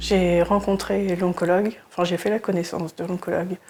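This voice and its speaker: The woman's fairly low voice carries a monotone, flat intonation. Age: 30s. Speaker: cancer patient. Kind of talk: testimony. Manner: halting, with frequent hesitations.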